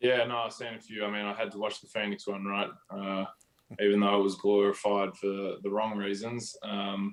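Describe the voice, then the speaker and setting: A man's fairly low voice in a monotone, flat delivery. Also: moderate pace. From Australia. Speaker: professional basketball player. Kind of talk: interview. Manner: hesitant, many fillers.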